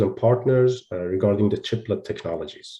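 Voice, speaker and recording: A man's dark, mellow, somewhat breathy voice at a medium pitch, with ordinary pitch variation over a quiet background. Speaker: panel moderator. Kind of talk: panel discussion moderation. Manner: halting with many fillers.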